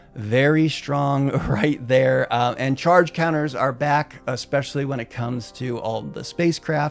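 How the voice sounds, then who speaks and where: With music in the background, a man at medium pitch speaks at a fairly slow pace and fairly even intonation. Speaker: Magic: The Gathering content creator. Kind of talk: casual commentary video.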